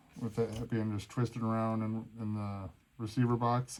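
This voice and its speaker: Moderate pace, with a dark, mellow tone. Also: man. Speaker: RC hobby video maker. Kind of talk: casual build tutorial. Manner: mumbling.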